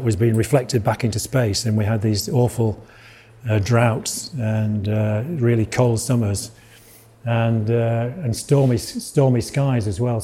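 With a Yorkshire accent, a man speaks at a very slow pace and a medium pitch. His dark, mellow voice is somewhat breathy, with fairly even intonation. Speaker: lecturer giving a public talk on art and weather. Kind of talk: informal lecture.

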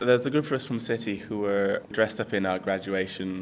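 A man speaks at a fairly quick pace with a fairly low pitch. His intonation stays fairly even over noticeable background noise. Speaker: university student. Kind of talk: interview.

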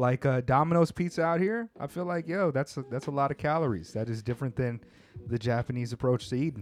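A man's medium-pitched voice carries lively intonation at a very fast pace. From California. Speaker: podcast host. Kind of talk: casual chat. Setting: studio. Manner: animated.

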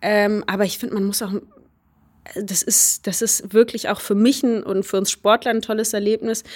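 A woman's medium-pitched voice at a moderate pace, in monotone, flat intonation. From Germany, Baunatal, Hesse. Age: 20s. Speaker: hurdler and student. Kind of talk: interview.

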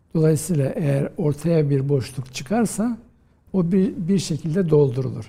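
Speaking at a fairly slow pace, a man with a fairly high pitch and a dark, mellow tone uses lively intonation. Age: 50s. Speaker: historian, professor. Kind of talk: interview.

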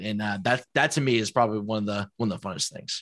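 On a very clean recording with a silent background, a man speaks very fast with a bright, sharp tone. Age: 20s. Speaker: video game streamer. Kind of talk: casual chat.

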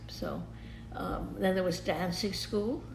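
With music playing in the background, a woman speaks at a fairly slow pace in an American accent. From New York. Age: 80s+. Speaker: photographer. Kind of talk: interview. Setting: at home. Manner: halting.

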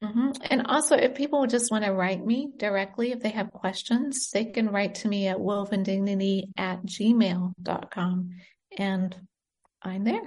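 A somewhat breathy woman speaks at a fairly slow pace with an American accent. The background is quiet. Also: medium pitch for a woman, ordinary pitch variation. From United States (born in Britain, moved at five). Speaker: nurse and charity founder. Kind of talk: interview. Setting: remote call from abroad.

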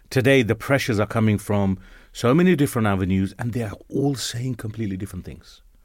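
Very fast and fairly low in pitch, a man talks with ordinary pitch variation on a very clean recording with a silent background. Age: 50s. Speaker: radio show host. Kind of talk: casual chat. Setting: studio.

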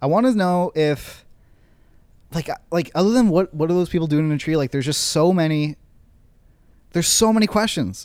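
Fairly quick speech from a man, high in pitch with ordinary pitch variation and long, frequent pauses, on a very clean recording with a silent background. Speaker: podcast co-host. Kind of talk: casual banter.

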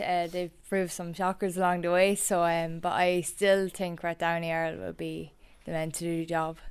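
The speaker talks at a moderate pace with an Irish Midlands accent. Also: woman. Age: 20s. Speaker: camogie player and reporter. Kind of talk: casual chat.

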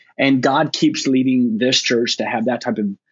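This man has a normal speaking voice at medium pitch, with ordinary pitch variation and a fairly slow pace. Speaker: lead pastor. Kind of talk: casual panel discussion. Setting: video call.

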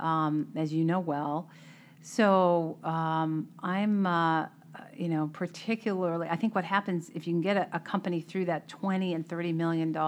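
A woman with an American accent speaks fairly slowly in a fairly low voice with fairly even intonation; it is a plain, everyday voice. The background is quiet. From Boston area, Melrose. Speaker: tech CEO and board member. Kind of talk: interview conversation.

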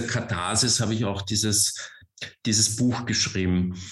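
A man with a slight Viennese accent speaks in a fairly low, somewhat breathy voice amid audible room echo. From Austria, Vienna. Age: 40s. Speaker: author and cultural manager. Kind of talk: talk.

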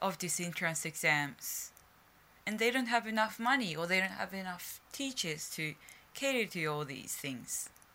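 Speaking with a Japanese accent, a woman uses a bright, sharp tone, medium pitch, lively intonation and a moderate pace. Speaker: journalist and podcast host. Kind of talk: solo news commentary podcast.

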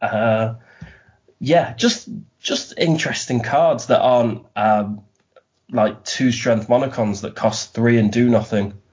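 With fairly even intonation and a medium pitch, a man talks in an unremarkable speaking voice. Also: fairly slow pace. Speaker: guest card game player. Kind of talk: casual chat about a card game.

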